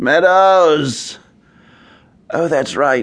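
A man speaks in a put-on character voice, fairly high-pitched for a man, with ordinary pitch variation. His tone is fairly bright, and his pace is very slow.

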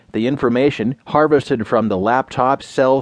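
Recorded dry and close with no echo, a man talks at a moderate pace in a plain, everyday voice of medium pitch. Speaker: news narrator. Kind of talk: scripted news reading of newspaper stories. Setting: studio. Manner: measured, even and formal delivery; clear, crisp newsreader enunciation.

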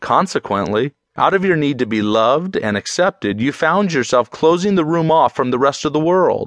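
A man speaks in an ordinary speaking voice, fairly high in pitch, with lively intonation at a moderate pace and hardly any pauses. The sound is dry and close with no echo, over a quiet background. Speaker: audiobook narrator. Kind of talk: audiobook narration, scripted self-help reading. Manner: measured, storytelling and motivational.

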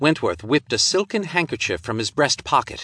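Over a quiet background, a man talks at a fairly quick pace with vocal fry. His tone is bright and sharp, with very wide pitch swings. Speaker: audiobook narrator. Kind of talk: dramatic pulp-thriller audiobook narration. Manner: punchy, suspenseful pacing through gunfight action.

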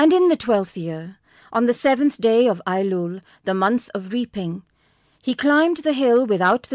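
Against a quiet background, with a dry, close sound and no echo, a woman with an unremarkable speaking voice talks at a fairly slow pace in a fairly high pitch with lively intonation. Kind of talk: audiobook narration. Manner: formal, measured, solemn.

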